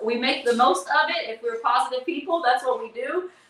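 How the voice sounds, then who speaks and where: Over noticeable background noise, a woman speaks in a raised, projected voice with an animated tone. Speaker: live streamer and tour producer. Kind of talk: livestream monologue. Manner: fast.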